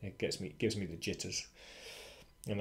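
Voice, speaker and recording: A man is heard here. His speech carries a British accent. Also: quiet background. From Britain. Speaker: freelancing educator. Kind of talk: casual tutorial monologue. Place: home room. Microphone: webcam.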